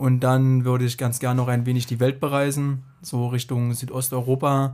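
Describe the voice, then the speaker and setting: Speaking at a medium pitch with a dark, mellow tone, a man talks at a fairly slow pace with fairly even intonation. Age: 30s. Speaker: statistics master's student. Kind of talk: casual interview.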